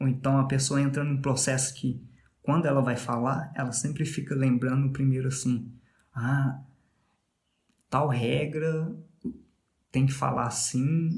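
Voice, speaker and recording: A man with a Minas Gerais accent speaks fairly slowly at medium pitch, somewhat breathy and with fairly even intonation. He takes long, frequent pauses, and there is audible room echo. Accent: Minas Gerais (mineiro). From Brazil, Minas Gerais. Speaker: podcast host, English learner. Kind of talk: casual monologue about language learning. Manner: conversational, with fillers.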